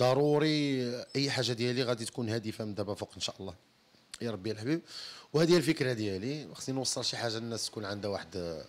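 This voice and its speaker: This man's speech runs at a very fast pace, his pitch varying in an ordinary way. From Morocco, Tetouan; Morocco. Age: 30s. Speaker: singer; interviewee. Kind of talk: interview. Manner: halting. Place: empty room. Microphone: handheld.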